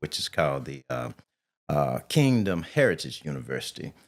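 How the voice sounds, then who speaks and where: A man speaks with vocal fry on a very clean recording against a silent background. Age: 60s. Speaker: engineer and financial trust advisor. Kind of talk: podcast interview.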